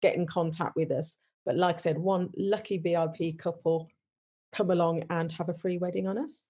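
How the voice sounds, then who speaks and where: A dark, mellow tone at a moderate pace against a quiet background. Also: woman. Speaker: wedding venue owner. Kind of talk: podcast interview. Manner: many fillers and restarts.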